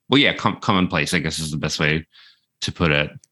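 With an Australian accent, a man speaks in a bright, sharp tone and fairly even intonation over a quiet background. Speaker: screencaster. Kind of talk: casual chat. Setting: remote call.

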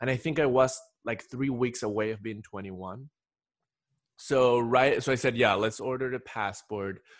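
With a Spanish accent, a man speaks at medium pitch and a moderate pace, keeping his intonation fairly even. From Ecuador. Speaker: podcast host. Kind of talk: casual interview chat.

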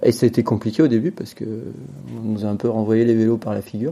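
A man with a dark, mellow tone delivers his words at a fairly quick pace. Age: 50s. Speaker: bicycle industry product developer. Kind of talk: interview.

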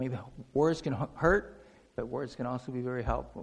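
The man has a normal speaking voice at a medium pitch. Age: 60s. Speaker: lay preacher. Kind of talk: sermon. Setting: church. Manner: conversational, with frequent fillers.

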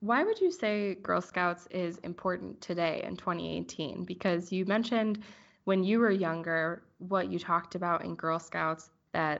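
Against a quiet background, a woman uses a normal speaking voice, fairly low in pitch, at a moderate pace with fairly even intonation. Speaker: podcast host. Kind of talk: interview.

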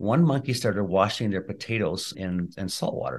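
A fairly low-pitched man at a moderate pace against a quiet background. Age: 60s. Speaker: chiropractor and functional medicine practitioner. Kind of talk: interview.

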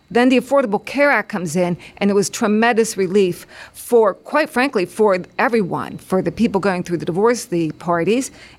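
A plain, everyday voice from a woman at medium pitch, with ordinary pitch variation and a fairly quick pace. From western Pennsylvania, Beaver County. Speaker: lawyer and political candidate. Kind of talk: interview.

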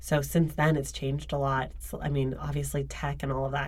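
Amid noticeable background noise and audible room echo, a woman with an American accent talks at a fairly quick pace. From Oakland, California. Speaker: books podcaster. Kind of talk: casual chat. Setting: studio. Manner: animated.

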